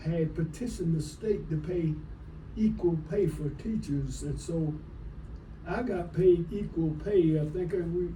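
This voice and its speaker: A man with an American accent talks at a very slow pace. Noticeable background noise runs behind him. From Florida, USA. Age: 80s+. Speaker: retired teacher and coach. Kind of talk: interview answer.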